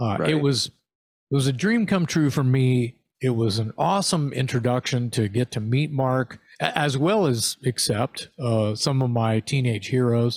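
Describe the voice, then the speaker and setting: Very even loudness and ordinary pitch variation in a dry, close sound with no echo, on a very clean recording with a silent background. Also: man, medium pitch for a man, fairly slow pace. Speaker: heavy metal singer and podcast co-host. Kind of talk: casual chat. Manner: animated.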